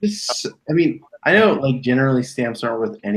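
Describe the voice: What's heard here is plain reading aloud.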